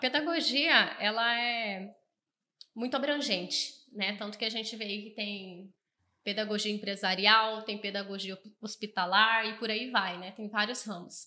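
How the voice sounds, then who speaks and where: Her voice, fairly high in pitch with a bright, sharp tone, moves at a fairly slow pace while its loudness swings widely. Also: ordinary pitch variation. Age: 20s. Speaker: accounting firm customer success staff. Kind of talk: podcast interview.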